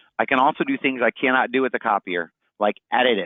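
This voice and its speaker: A man talks at a fairly quick clip with fairly even intonation. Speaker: sales demonstrator. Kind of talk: product demo. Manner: fast.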